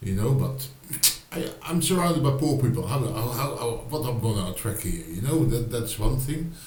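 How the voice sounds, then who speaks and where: Audible room echo and noticeable background noise both surround this man's voice. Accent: Dutch. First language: Dutch. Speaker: writer and video blogger. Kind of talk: casual vlog monologue. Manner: halting, many fillers and repetitions.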